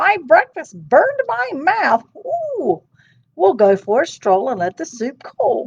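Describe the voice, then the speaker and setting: A high-pitched, put-on character voice moves along at a fairly slow pace. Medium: read story.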